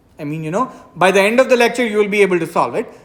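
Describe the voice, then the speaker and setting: The speaker's intonation is lively. There is noticeable background noise. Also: woman. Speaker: math lecturer. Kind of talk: lecture. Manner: loud; hesitant, many fillers.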